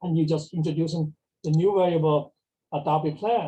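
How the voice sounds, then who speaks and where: This man has a dark, mellow tone and a fairly high pitch. He talks at a fairly quick pace with fairly even intonation. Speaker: mathematics professor. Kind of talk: lecture. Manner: fast; halting, many fillers.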